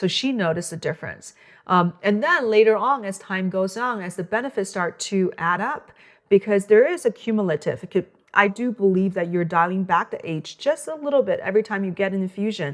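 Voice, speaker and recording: Speaking at a fairly quick pace in a Chinese accent, a woman uses lively intonation at a medium pitch. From China. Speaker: physician. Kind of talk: interview. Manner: halting.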